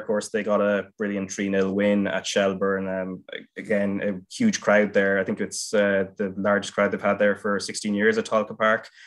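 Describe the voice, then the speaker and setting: Over a quiet background, a man with an Irish accent talks at a moderate pace with hardly any pauses. His fairly low voice holds a monotone, flat intonation. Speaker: football podcast host. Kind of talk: casual chat.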